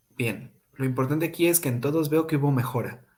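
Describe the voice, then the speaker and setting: The voice sounds somewhat breathy. Its intonation is fairly even. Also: man. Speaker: English teacher. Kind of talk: online class. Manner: fast.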